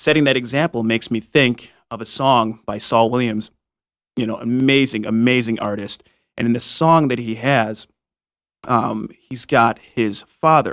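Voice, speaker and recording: The recording is very clean, with a silent background. A man speaks at a medium pitch and fairly slow pace, his intonation fairly even. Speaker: podcast host. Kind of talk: casual chat.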